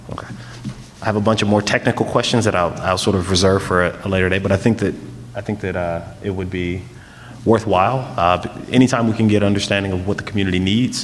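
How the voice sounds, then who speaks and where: The speech comes at a very fast pace with fairly even intonation over noticeable background noise. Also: man, fairly low pitch for a man. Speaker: school board trustee. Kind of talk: board meeting discussion. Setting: school board meeting. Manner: loud.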